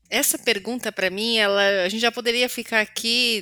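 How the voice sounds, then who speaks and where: A woman's fairly high, bright, sharp voice on a very clean recording with a silent background. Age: 40s. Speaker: communication consultant and educator. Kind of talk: interview.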